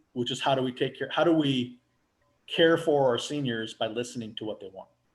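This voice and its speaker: Speaking in an unremarkable speaking voice with an American accent, a man talks at a fairly quick pace and medium pitch, with ordinary pitch variation and big swings in loudness. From US Pacific Northwest. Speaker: residential care home owner. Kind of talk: casual interview.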